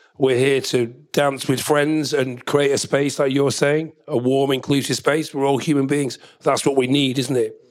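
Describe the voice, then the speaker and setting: A man talks at a moderate pace in a fairly high pitch, his loudness very even and his intonation monotone and flat. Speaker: DJ and producer. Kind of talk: panel discussion. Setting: live panel with audience.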